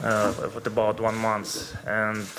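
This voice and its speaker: In a room with audible echo, a man speaks at fairly low pitch with a Ukrainian accent. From Ukraine. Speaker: footballer. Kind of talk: press conference. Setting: press conference room. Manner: halting.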